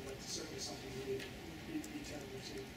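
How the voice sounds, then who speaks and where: A man talks at a very fast pace. Audible room echo and loud background noise fill the recording. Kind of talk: report to school board. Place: hall.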